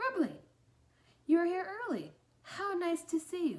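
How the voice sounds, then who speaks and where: In a put-on character voice, a woman sounds squeaky with a warm, gentle tone and an extremely high pitch, speaking at a moderate pace. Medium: read story.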